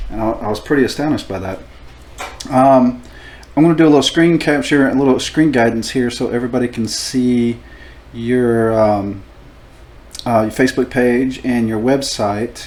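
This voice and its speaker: At a moderate pace, a man with a medium-pitched voice and ordinary pitch variation speaks with long, frequent pauses. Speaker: tattoo artist and show host. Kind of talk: casual chat.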